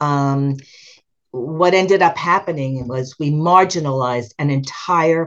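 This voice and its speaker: This woman speaks with a very deep, low pitch. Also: quiet background. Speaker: retired special education teacher. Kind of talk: interview.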